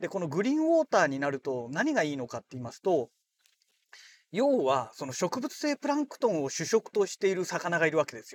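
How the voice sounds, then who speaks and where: A man with a high-pitched voice swings very widely in pitch and greatly in loudness, recorded with a dry, close sound and no echo. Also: fairly quick pace. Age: 40s. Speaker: podcaster. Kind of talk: casual monologue. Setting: in a car. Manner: relaxed, many fillers.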